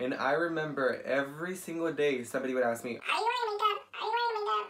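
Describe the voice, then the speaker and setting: Very fast speech in a Spanish accent over noticeable background noise. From US, Mexican-American family. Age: 20s. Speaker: makeup artist, beauty vlogger. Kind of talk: makeup tutorial with personal story. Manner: casual, chatty.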